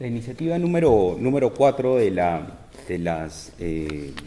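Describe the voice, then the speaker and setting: A man's fairly low voice at a very slow pace, with very wide pitch swings, audible room echo and noticeable background noise. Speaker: tax expert. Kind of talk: lecture. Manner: hesitant, many fillers.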